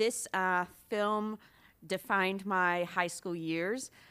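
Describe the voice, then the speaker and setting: With a Scottish accent, a woman speaks at a very slow pace and medium pitch, her tone bright and sharp and her pitch variation ordinary, on a very clean recording with a silent background. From Scotland. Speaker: bookstore owner. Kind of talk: casual chat.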